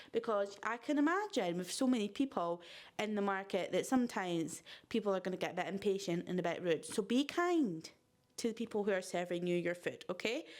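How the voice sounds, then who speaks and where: A woman with a Scottish accent sounds animated and talks at a fairly quick pace. Her intonation is lively. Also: medium pitch for a woman. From Scotland, Fife coast. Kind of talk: casual vlog chat.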